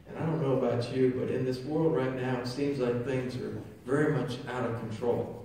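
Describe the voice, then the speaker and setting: Over light background noise and strong room echo, a man talks at a moderate pace. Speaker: priest or pastor. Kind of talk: sermon. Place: church. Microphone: camera far.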